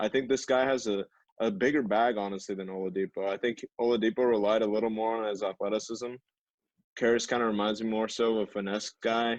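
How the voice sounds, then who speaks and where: Dry and close with no echo, a man's medium-pitched voice moves at a very fast pace with fairly even intonation. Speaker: podcast co-host. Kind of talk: casual chat. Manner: monotone.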